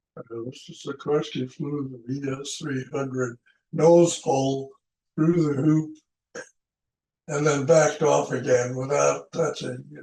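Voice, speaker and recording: Somewhat breathy and dark, mellow in tone, a man talks at a fairly slow pace with a fairly high pitch, flat monotone intonation and big swings in loudness. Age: 80s+. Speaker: retired aeronautical engineer. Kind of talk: interview answer.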